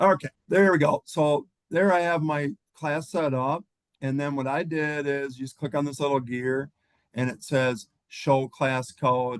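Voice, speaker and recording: An unremarkable speaking voice moves at a fairly slow pace with fairly even intonation, the sound dry and close with no echo. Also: man, fairly high pitch for a man. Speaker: teacher. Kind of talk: tutorial.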